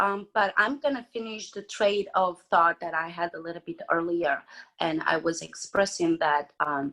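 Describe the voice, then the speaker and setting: A woman speaks at a moderate pace with a Romanian accent and lively intonation. The recording is very clean, with a silent background. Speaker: mental health advocate. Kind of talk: podcast interview.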